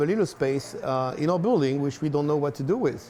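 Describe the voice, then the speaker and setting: A man's fairly high voice with a French accent, ordinary pitch variation and a fairly quick pace, over noticeable background noise. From France. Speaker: restaurant owner. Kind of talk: interview. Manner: halting, many fillers.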